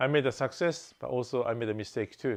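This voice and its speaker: A man with a Japanese accent, medium pitch and a very fast pace. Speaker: real estate investor. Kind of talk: channel introduction.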